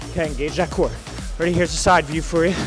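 Clear music plays in the background as a man talks. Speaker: fitness instructor. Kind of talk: workout coaching. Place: gym.

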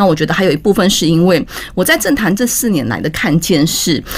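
The woman's pitch swings very widely. She talks at a fairly quick pace. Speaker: guest. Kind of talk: interview answer. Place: studio. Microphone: studio mic.

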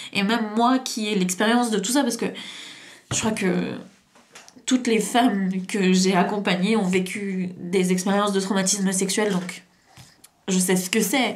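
A woman's medium-pitched voice at a fairly slow pace, with fairly even intonation. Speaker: hypnotherapist and trauma coach YouTuber; therapist or coach. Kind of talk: story time monologue to camera. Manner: halting, many fillers. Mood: serious, emotionally engaged. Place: home room. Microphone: camera far.

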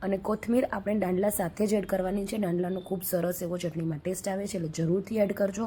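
A woman's somewhat breathy voice at a medium pitch. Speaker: cooking channel host. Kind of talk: cooking tutorial.

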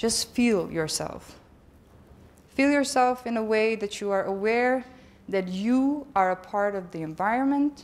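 A woman speaks at a fairly slow pace with a calm, soothing tone. Her pitch is fairly high, with ordinary pitch variation. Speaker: conference speaker. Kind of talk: conference talk, with a guided meditation stretch; guided meditation. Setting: stage with audience. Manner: calm, slow, soothing instructions; conversational, humorous. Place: hall.

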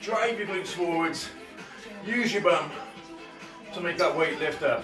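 With clear music in the background, a man speaks in a fairly even intonation. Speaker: fitness instructor. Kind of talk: live workout instruction. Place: home room. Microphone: camera far.

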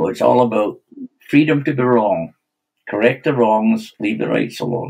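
A man with a Scottish accent at a moderate pace, ordinary pitch variation and a quiet background. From Scotland. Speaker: stock dog trainer. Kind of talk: podcast interview answer. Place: home room. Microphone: webcam.

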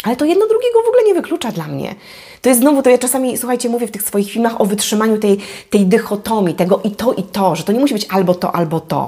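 Over a quiet background, the speech rushes along at a very fast pace with lively intonation. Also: woman, fairly high pitch for a woman. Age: 40s. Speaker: life coach. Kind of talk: vlog monologue. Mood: warm, encouraging. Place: home room. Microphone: lapel.

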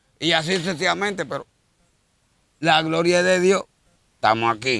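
Lively intonation and a high pitch come from a man speaking at a moderate pace. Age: 50s. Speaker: street interviewee, odd-job worker. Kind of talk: street interview.

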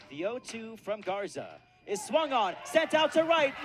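Over noticeable background noise, a man speaks in an excited, energetic tone. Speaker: play-by-play baseball radio announcer. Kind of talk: live baseball play-by-play radio call.

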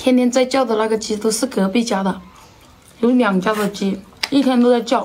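Against noticeable background noise, a woman with a fairly high pitch keeps a fairly even intonation and leaves long, frequent pauses. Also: moderate pace. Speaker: mukbang vlogger. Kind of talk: casual eating vlog talk. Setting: at home.

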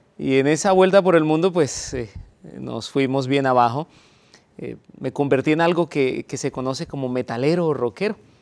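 This man has a fairly high pitch with ordinary variation. He talks at a moderate pace. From Colombia. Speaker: pastor. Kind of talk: testimony. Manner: halting with frequent fillers. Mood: reflective personal testimony. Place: studio. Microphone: lapel.

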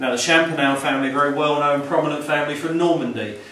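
Very fast speech with audible room echo. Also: man. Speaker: house guide. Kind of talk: guided tour talk. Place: home room. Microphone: camera far.

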